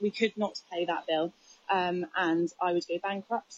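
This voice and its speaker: At a moderate pace, a woman with an ordinary speaking voice talks at a fairly low pitch in a dry sound with no echo. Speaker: news interviewee. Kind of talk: interview answer.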